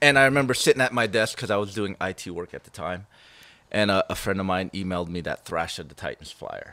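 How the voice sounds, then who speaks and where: A voice with an American accent and a bright, sharp tone goes at a very fast pace, with ordinary pitch variation and big swings in loudness. The recording is very clean with a silent background and a dry, close sound with no echo. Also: man, fairly low pitch for a man. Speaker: thrash metal guitarist. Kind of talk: casual interview chat.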